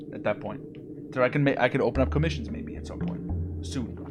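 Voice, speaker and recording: Noticeable background noise runs through the clip. Over it, a man talks very fast. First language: not English. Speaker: streamer and artist. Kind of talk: casual live stream chat.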